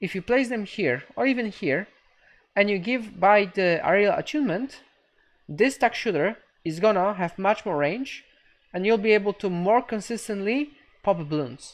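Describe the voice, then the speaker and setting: Lively intonation marks an ordinary speaking voice at a moderate pace against a quiet background. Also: woman, medium pitch for a woman. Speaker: video game streamer. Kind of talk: live game coaching stream.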